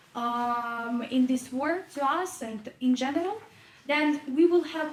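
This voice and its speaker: A woman talks in a high pitch over noticeable background noise. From Ukraine. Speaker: audience member, volunteer advocate. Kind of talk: audience question at panel discussion. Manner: halting, with fillers.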